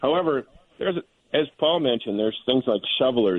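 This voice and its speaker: A man with a normal speaking voice, lively intonation and a fairly quick pace. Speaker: wildlife biologist. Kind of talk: radio panel discussion.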